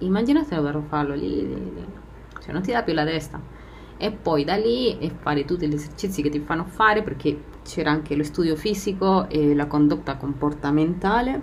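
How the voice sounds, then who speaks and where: A woman with a very deep, low pitch speaks at a moderate pace with a Spanish accent, over noticeable background noise and audible room echo. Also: lively intonation. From Argentina. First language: Spanish (speaking Italian). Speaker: podcast host. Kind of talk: personal monologue. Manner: laughs often.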